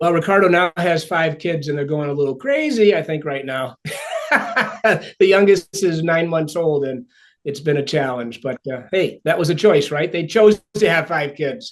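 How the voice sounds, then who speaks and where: A fairly high-pitched man's voice in an upstate New York accent, with ordinary pitch variation at a moderate pace. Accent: American (upstate New York). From upstate New York (Ithaca). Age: 60s. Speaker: author and speaker. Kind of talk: podcast interview. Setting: podcast recording.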